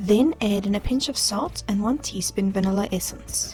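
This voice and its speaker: A woman with a South African accent talks at a moderate pace while music plays in the background. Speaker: home baker, food YouTuber. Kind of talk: cooking tutorial narration.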